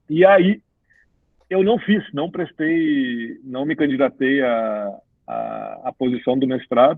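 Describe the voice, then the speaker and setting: With a southern Brazilian accent, a man speaks using lively intonation. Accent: gaúcho. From Rio Grande do Sul, Brazil (Cruz Alta). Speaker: business executive and career mentor. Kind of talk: podcast interview. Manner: animated, conversational with many fillers.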